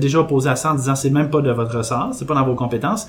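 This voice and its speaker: A man's fairly high voice at a very fast pace, ordinary pitch variation, audible room echo and noticeable background noise. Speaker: podcast columnist. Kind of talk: casual chat.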